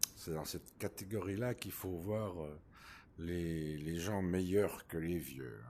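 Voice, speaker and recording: A man speaks very slowly at a very deep, low pitch. His tone is dark and mellow, with ordinary pitch variation. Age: 60s. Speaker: VR gaming YouTuber. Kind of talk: casual improvised gameplay commentary. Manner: hesitant.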